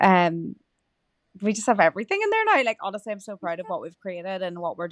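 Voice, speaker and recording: A woman speaks with an Irish accent. She keeps a fairly quick pace. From rural Ireland. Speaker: meditation coach and podcast host. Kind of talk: casual interview chat. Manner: halting, many fillers.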